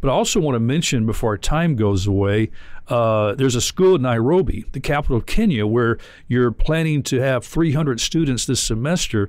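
Recorded dry with no echo over a quiet background, a man speaks at a moderate pace with very even loudness. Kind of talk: interview. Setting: studio. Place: studio. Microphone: studio mic.

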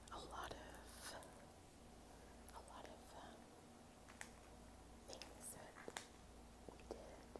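A woman speaks at a very slow pace with long, frequent pauses. Loud noise fills the background. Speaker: ASMR creator. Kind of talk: ASMR show and tell. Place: home room. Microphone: phone near.

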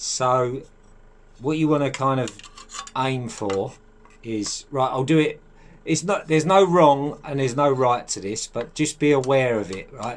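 The pace is fairly slow. Pitch varies in an ordinary way. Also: man, medium pitch for a man.

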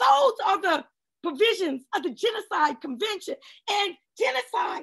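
Against a quiet background, a woman talks at a moderate pace with very wide pitch swings. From Washington, D.C. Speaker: policy advocate and lawyer; lawyer. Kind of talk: panel discussion; panel discussion talk. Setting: video call. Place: home room. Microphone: video call.

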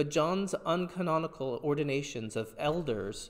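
The tone is solemn, with ordinary pitch variation at a moderate pace. The background is quiet. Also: man. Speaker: priest leading service. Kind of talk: liturgical prayer and reading. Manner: fervent, solemn, measured. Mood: calm, reverent. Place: church.

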